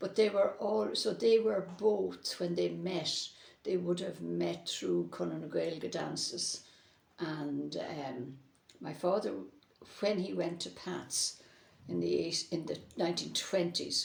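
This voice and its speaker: A woman with an Irish accent speaks at a very slow pace. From Ireland (Cavan, Drogheda, Longford). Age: 80s+. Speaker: interviewee on Irish-language education. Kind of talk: oral history interview.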